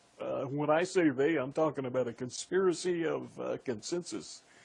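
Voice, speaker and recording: A man speaks with an American accent and a fairly high pitch. His voice is somewhat breathy, with ordinary pitch variation. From US Midwest, Indiana. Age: 60s. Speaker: radio host. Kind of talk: political talk radio interview. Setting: radio show.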